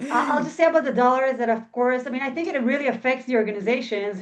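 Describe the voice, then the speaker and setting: Her intonation fairly even, a woman talks with little sound in the background. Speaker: philanthropy professional in Israel. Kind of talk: webinar panel answer. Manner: fast.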